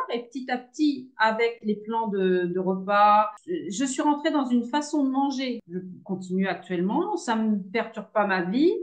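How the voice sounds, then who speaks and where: With lively intonation and hardly any pauses, a woman talks at a fairly slow pace in a fairly high voice. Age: 60s. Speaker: retired caregiver, coaching client. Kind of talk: testimony interview. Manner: hesitant, many fillers.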